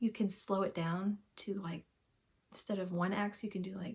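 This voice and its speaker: The voice is dark, mellow and somewhat breathy. It carries an American accent. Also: woman. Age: 50s. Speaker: cross-stitch vlogger. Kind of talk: casual chat. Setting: home. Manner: fast.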